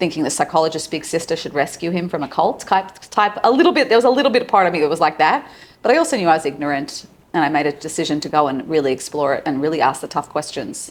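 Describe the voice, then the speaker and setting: Very fast in pace, a woman talks in an Australian accent. Her pitch is very deep and low. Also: lively intonation. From Australia, Sydney. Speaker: psychologist and relationship coach. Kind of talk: casual interview.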